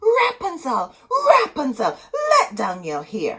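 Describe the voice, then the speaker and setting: A put-on character voice with a fairly high pitch moves along at a fairly slow pace. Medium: read story. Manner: imperious, menacing.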